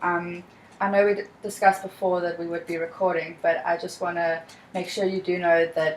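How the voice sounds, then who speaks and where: A woman's fairly low voice in a South African accent, fairly quick, with ordinary pitch variation. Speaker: student counselor in training. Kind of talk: counseling role-play session. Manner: calm, empathetic.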